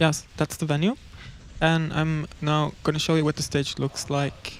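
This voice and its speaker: With a Norwegian accent, the speaker talks at a fairly slow pace. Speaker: electronic musician. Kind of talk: livestream commentary on a slideshow. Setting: livestream with video call audience. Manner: casual, halting.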